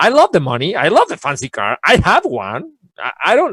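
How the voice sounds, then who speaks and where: A man with a Spanish accent at a moderate pace, in a dry, close sound with no echo and a very clean recording with a silent background. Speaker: guest speaker on learning. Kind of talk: casual interview chat. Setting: live video show. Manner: halting, repetitive.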